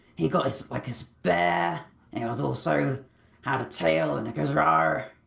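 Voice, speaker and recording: A man puts on a raspy character voice at a fairly low pitch. He speaks at a fairly slow pace. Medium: machinima. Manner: rambling, chatty.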